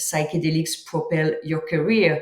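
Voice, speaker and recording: In a French accent, a woman speaks with a very deep, low pitch and a somewhat breathy sound. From France. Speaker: author and psychedelics entrepreneur. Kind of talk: interview.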